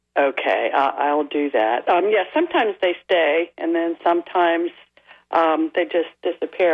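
A woman with an unremarkable speaking voice, fairly low in pitch, at a moderate pace. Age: 60s. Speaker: caller. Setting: phone call.

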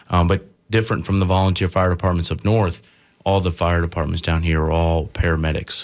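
Very deep and low in pitch, a man's voice runs at a fairly quick pace with very even loudness and monotone, flat intonation. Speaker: firefighter union president. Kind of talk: radio interview, first radio appearance. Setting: studio.

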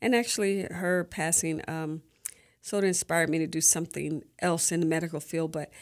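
An unremarkable speaking voice with an American accent, fairly even intonation and a moderate pace, in a very clean recording with a silent background. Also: woman. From Florida, Sarasota. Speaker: nurse and gospel radio host. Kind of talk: interview. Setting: radio studio.

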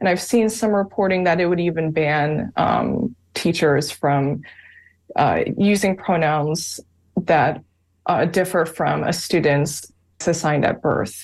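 Speaking at a very slow pace, a woman keeps a fairly low pitch, very even loudness, and ordinary pitch variation over a quiet background. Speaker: reporter. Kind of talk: interview. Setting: video call.

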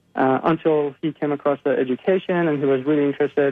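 A man speaks with a Persian accent at a fairly high pitch. His intonation stays fairly even. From Iran. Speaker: biomedical scientist and animal rights activist. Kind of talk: radio interview.

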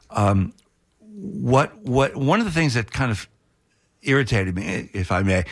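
With an American accent, a man speaks in a somewhat breathy voice. His intonation is lively. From Florida, St. Petersburg. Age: 60s. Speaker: journalist and author. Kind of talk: radio interview.

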